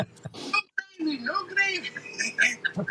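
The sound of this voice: A man puts on a character voice at an extremely high pitch. His pitch swings very widely.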